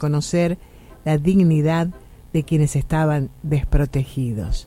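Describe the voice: A woman's low-pitched voice with a dark, mellow tone at a moderate pace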